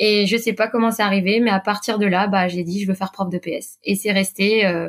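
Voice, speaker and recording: A woman talks at a fairly quick pace in a medium pitch. Her voice is somewhat breathy, with fairly even intonation. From Brittany, France (Quimper, south Finistère). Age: 30s. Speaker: PE teacher and amateur runner. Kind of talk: interview.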